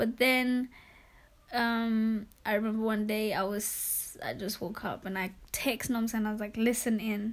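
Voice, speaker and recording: At a fairly slow pace, a woman speaks with a fairly high pitch and monotone, flat intonation. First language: not English. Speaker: podcast co-host. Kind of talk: casual chat.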